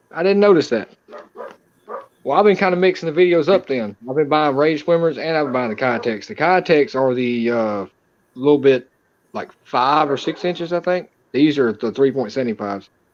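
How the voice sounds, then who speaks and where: A man with a Southern US accent, a fairly high pitch, lively intonation and a moderate pace. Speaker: fishing streamer. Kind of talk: casual chat. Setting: live stream.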